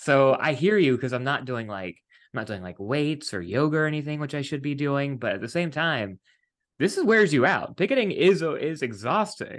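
Over a quiet background, a man with an American accent speaks at a fairly high pitch and moderate pace, his pitch swinging very widely. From West Virginia. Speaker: podcast host and TV writer. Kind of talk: casual interview chat. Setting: video call.

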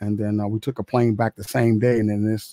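In an American accent, this voice has a dark, mellow tone and fairly even intonation, recorded with a dry, close sound and no echo. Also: man. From Chicago. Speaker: film and media composer. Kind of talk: casual interview chat. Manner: halting, with fillers.

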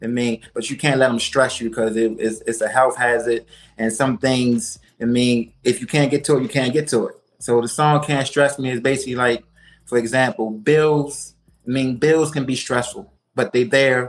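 A man's voice sits at a medium pitch with intonation that stays fairly level. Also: moderate pace. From Baltimore, Maryland. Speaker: rapper. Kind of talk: interview.

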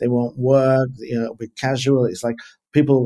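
With an English accent, a man speaks in a dark, mellow tone and a monotone, flat delivery. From England. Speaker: leadership consultant. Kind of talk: interview.

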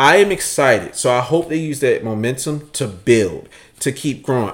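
Here a man talks at a moderate pace with lively intonation. The recording is very clean, with a silent background. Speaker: sneaker podcast co-host. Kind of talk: casual chat. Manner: loud.

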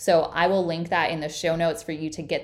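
This woman talks at a fairly quick pace with a fairly low pitch. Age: 30s. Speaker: podcast host and hormone health coach. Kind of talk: solo podcast monologue.

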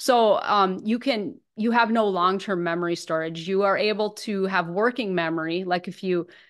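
Talking at a fairly quick pace, a woman with an unremarkable speaking voice and an American accent holds a medium pitch. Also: quiet background. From northern Minnesota. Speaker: recovery ministry director and author. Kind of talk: testimony.

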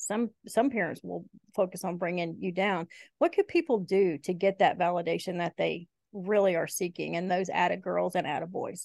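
Over a quiet background, a woman with a Southern US accent speaks at a medium pitch with fairly even intonation and vocal fry, in a dry, close sound with no echo. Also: moderate pace. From Eastern Kentucky, raised in Shelby County, Alabama. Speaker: podcast host. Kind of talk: casual interview chat.

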